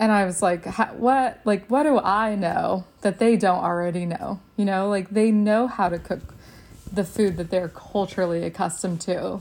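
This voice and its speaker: This woman has an American accent and a normal speaking voice, pitched in the medium range with ordinary variation. She talks at a moderate pace. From Texas. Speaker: nutritionist in dietitian training, food policy organizer. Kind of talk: casual podcast interview.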